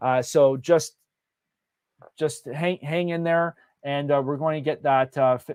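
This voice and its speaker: Speaking at a moderate pace with a Canadian accent, a man with fairly high pitch keeps his intonation fairly even, the sound dry and close with no echo and the recording very clean over a silent background. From Canada. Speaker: real estate event host. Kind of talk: live Q&A on virtual launch event. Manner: many fillers and hesitations.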